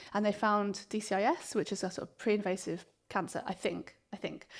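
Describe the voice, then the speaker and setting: In a southern English accent, a woman speaks at medium pitch on a very clean recording with a silent background. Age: 40s. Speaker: clinical psychologist. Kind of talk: interview conversation. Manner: hesitant, many fillers.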